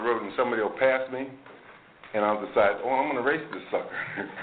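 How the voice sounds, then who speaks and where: Speaking at a very fast pace with an American accent, a man is heard with audible room echo and noticeable background noise. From New Jersey, Maplewood. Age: 60s. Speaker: AA speaker. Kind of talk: recovery talk to a meeting audience. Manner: conversational, many fillers.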